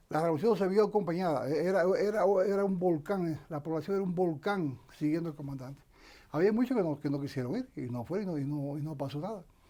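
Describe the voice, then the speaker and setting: Talking at a very fast pace, a man with a high pitch and a dark, mellow tone shows ordinary pitch variation. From Cuba, Camagüey. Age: 60s. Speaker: retired army colonel and former political prisoner. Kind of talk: interview testimony. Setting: studio. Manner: halting, many repetitions and false starts.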